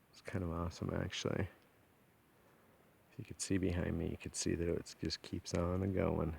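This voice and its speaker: This man's very deep, low voice is somewhat breathy and monotone, moving at a moderate pace with long, frequent pauses and big swings in loudness. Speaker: hunter and outdoor vlogger. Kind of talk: outdoor vlog narration. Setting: outdoors in mountains. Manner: casual, with many fillers.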